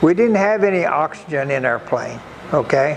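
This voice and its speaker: With an American accent, a man speaks fairly slowly at a high pitch amid noticeable background noise. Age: 80s+. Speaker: war veteran. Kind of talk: interview answer.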